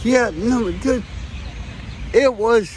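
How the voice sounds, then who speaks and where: A man at an extremely high pitch with ordinary pitch variation, crowd noise in the background. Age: 60s. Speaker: homeless man. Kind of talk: casual chat. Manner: halting.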